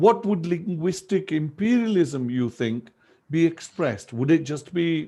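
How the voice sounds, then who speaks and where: With a Punjabi accent, a man talks at a fairly slow pace in a dark, mellow tone with lively intonation. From Pakistan, northern Punjab. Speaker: language activist and educator. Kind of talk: lecture.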